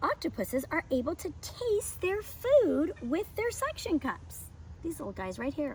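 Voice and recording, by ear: Speaking at a fairly slow pace, a woman has a high pitch and a slightly mellow tone. Her pitch makes big swings.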